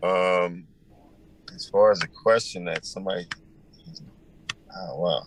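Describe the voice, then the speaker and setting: Pacing himself fairly slowly, a man speaks with an American accent. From Arizona. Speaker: rapper. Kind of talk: interview. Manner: halting.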